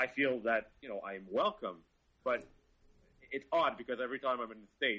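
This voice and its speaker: With a French Canadian accent, a man speaks at medium pitch and a fairly quick pace, his lively intonation and big swings in loudness broken by long, frequent pauses. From Montreal, Quebec. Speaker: car journalist. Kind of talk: casual chat.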